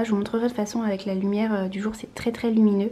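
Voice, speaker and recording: A soft-spoken woman with a fairly high pitch is heard over noticeable background noise. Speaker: lifestyle vlogger. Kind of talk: casual vlog. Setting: at home, apartment tour. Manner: hesitant, many fillers.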